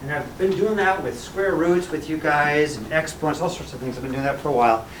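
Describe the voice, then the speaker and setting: Amid noticeable background noise and audible room echo, a man talks at a very fast pace with a fairly high pitch and ordinary pitch variation. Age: 60s. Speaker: math teacher. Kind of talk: classroom lecture. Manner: animated.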